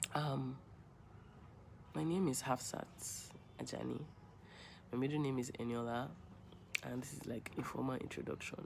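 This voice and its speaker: A woman with a Nigerian accent speaks at a moderate pace with vocal fry and a very deep, low pitch, leaving long, frequent pauses amid audible room echo. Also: ordinary pitch variation. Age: 20s. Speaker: vlogger. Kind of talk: personal vlog monologue. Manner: rambling, hesitant.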